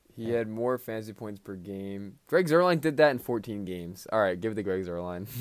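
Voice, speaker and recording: An unremarkable speaking voice from a man, fairly low in pitch, at a fairly quick pace with lively intonation. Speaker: podcast co-host. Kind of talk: casual chat about fantasy football.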